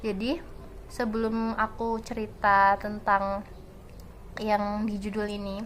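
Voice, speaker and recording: A woman speaks at a very slow pace, leaving long, frequent pauses. Her fairly high voice stays monotone and flat. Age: 20s. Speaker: student vlogger. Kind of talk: casual vlog storytelling.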